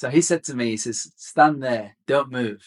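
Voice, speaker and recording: A man with a Birmingham accent at medium pitch and moderate pace, in a dry, close sound with no echo. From Birmingham, England. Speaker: fitness instructor. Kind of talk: casual interview.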